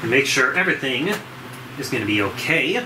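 At a fairly quick pace, a man with a medium pitch makes big pitch swings over clear background noise.

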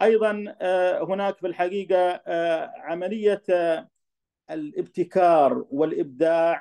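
Against a quiet background, a man with a high pitch speaks at a very slow pace. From Saudi Arabia. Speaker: professor. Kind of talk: lecture. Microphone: video call.

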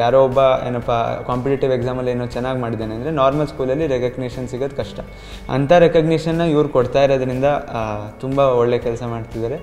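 With faint music in the background, the man keeps his intonation fairly even. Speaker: student, medical entrance exam topper. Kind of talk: interview answer. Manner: soft-spoken. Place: classroom. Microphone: handheld.

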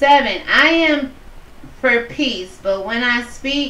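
Audible room echo with light background noise. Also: woman. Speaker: online bible study host. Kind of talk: scripture reading with commentary. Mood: earnest, preachy. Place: home room. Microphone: webcam.

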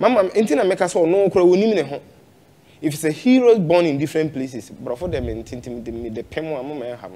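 The tone is dark and mellow, delivered at a fairly quick pace. Pitch swings very widely, and loudness rises and falls in big swings. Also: man, fairly high pitch for a man. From Ghana. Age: young. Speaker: traditional spiritualist; interview guest. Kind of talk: interview chat. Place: studio. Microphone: lapel.

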